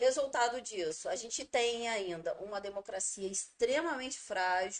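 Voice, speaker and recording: In a normal speaking voice, the speaker talks at a fairly slow pace with lively intonation. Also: woman, fairly high pitch for a woman. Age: 30s. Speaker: teacher and local politician. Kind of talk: interview.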